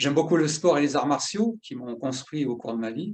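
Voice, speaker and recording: A man speaks at a fairly high pitch. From southern France. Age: 50s. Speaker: workplace safety specialist. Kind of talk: educational talk. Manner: halting, many filler 'euh'.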